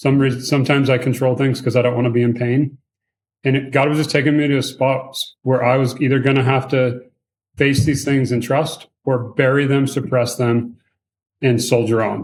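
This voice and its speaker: Somewhat breathy, a man's medium-pitched voice holds a flat monotone. He moves at a moderate pace. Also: very even loudness. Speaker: pastor. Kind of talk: podcast interview.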